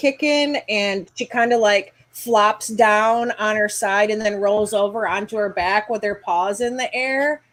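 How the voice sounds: The voice reads in a natural way. Its intonation is fairly even.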